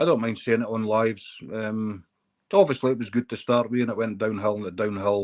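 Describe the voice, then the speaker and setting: A man speaks with a Scottish accent at a fairly quick pace. His intonation stays fairly even. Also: medium pitch for a man. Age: 50s. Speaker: live streamer. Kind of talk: casual chat.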